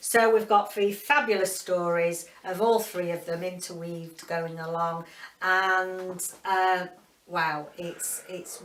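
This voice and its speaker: A woman with a Yorkshire accent speaks very slowly at a medium pitch, her intonation fairly even. Her loudness swings widely, and audible room echo surrounds her. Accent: broad Yorkshire. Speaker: book reviewer. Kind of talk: casual video book review. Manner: halting, many fillers.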